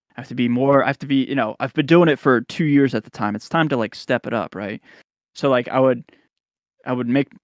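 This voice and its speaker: Recorded very cleanly against a silent background, a man speaks at a fairly quick pace and medium pitch, with ordinary pitch variation and a dry, close sound with no echo. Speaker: guitarist and YouTuber. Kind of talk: casual chat. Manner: frequent fillers.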